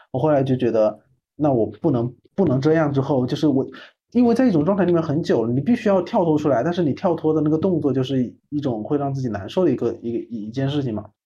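This man talks at a very fast pace in a fairly high pitch. His intonation is lively and his voice is somewhat breathy. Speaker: podcast host. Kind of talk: casual chat.

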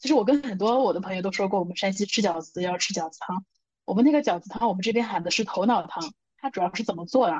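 A woman's medium-pitched, somewhat breathy voice at a very fast pace, animated in tone, with ordinary pitch variation and big swings in loudness. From northern China (Shanxi). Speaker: podcast co-host. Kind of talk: casual chat.

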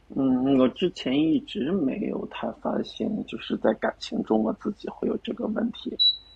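With noticeable background noise behind him, a man speaks at a fairly slow pace with hardly any pauses. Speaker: dating show contestant. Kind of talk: casual chat. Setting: video call.

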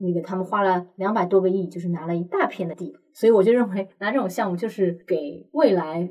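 A woman with a normal speaking voice talks at a fairly quick pace with hardly any pauses. Her pitch is medium, with ordinary pitch variation. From Shanghai. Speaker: commercial real estate expert. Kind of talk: interview.

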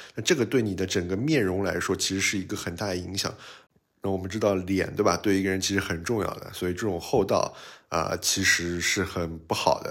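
Talking at a fairly quick pace, a man with a very deep, low pitch keeps his intonation fairly even. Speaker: podcast host. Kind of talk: casual solo podcast monologue. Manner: casual, conversational, fillers.

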